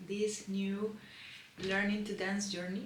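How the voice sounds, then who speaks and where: With a Spanish accent and medium pitch, a woman speaks at a fairly slow pace amid audible room echo and noticeable background noise. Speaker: lifestyle vlogger. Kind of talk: unboxing vlog. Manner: animated.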